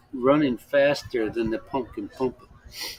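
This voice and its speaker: A man speaks at medium pitch with an American accent, very slowly. Noticeable background noise runs behind him. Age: 60s. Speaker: expat livestream host. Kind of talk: casual chat. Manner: halting, many repetitions.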